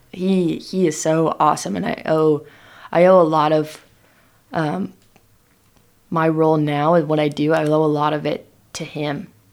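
On a very clean recording with a silent background, a woman with a West Coast accent speaks at a moderate pace in a very deep, low pitch, with ordinary pitch variation and long, frequent pauses. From Oregon, Willamette Valley. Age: 20s. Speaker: hop farmer and operations manager. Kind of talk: interview.

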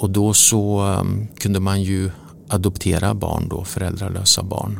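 Audible room echo surrounds a man who speaks at a fairly slow pace with a fairly low pitch and fairly even intonation. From Sweden, Motala. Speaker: newspaper publisher. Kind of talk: interview. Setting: office.

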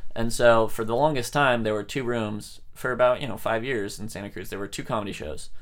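Speaking in a plain, everyday voice, a man talks at a fairly quick pace with hardly any pauses, a medium pitch and fairly even intonation. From San Francisco Bay Area, California. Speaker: stand-up comedian. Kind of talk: casual interview chat.

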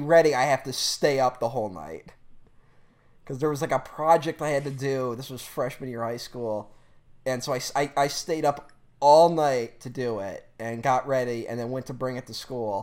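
A man speaks at a moderate pace in a fairly high voice, his tone animated and his intonation lively, with big swings in loudness on a very clean recording with a silent background. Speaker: podcast co-host. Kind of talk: casual chat. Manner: animated, talks over co-host.

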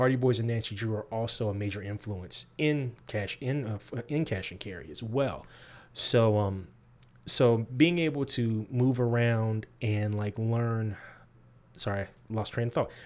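In a very clean recording with a silent background, a man with an American accent and a plain, everyday voice speaks at a fairly slow pace, with a medium pitch and ordinary pitch variation. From US Midwest. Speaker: graphic novel writer. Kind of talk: interview.

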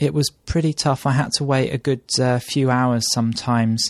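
Against a quiet background, a man with a British accent talks at a moderate pace in a dry, close sound with no echo. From UK. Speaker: travel blogger. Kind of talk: casual chat. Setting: home kitchen table.

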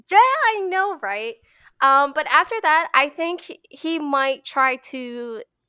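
A woman's raised, projected voice, bright and sharp in tone, with very wide pitch swings, in a very clean recording with a silent background. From Pennsylvania, US. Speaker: animator and compositor. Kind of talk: casual interview chat. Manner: casual, filler-heavy.

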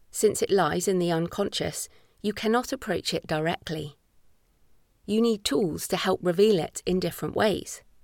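A woman's medium-pitched voice at a moderate pace with ordinary pitch variation, dry and close with no echo in a very clean recording with a silent background. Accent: English. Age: 40s. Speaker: author. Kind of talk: audiobook narration. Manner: measured.

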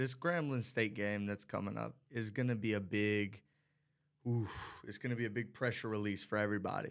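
A man talks in an unremarkable speaking voice at a fairly low pitch and a fairly quick pace. His intonation is fairly even, and the recording is very clean with a silent background. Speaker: college radio sports commentator. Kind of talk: casual sports talk.

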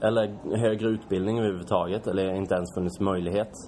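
Fairly low-pitched male voice with ordinary pitch variation, amid noticeable background noise. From Sweden, Kalmar. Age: 20s. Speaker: startup founder. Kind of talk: interview. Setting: shop showroom. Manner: hesitant, many fillers.

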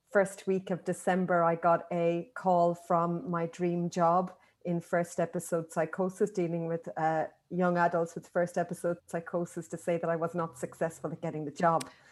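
Against a very clean, silent background, a woman with an Irish accent speaks at a moderate pace in a fairly low, flat monotone. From Ireland. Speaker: occupational therapist and manual handling educator. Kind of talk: interview.

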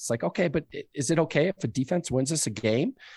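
A man with an American accent at a very fast pace with lively intonation, dry, close sound with no echo and a quiet background. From Denver, Colorado. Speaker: podcast contributor. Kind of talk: casual sports podcast chat.

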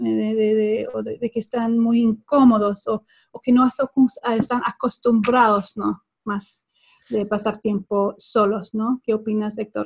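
A woman with a Swedish accent speaks very slowly in a fairly high, somewhat breathy voice with monotone, flat intonation. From Sweden. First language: Swedish (speaking Spanish). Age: 40s. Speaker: body language trainer. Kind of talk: interview. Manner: halting.

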